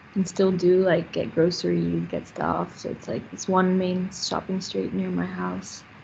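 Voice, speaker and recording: A woman speaks at a very slow pace with a slight American accent. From Paris, France. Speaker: workshop participant. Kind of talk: presentation. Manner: casual, filler-heavy.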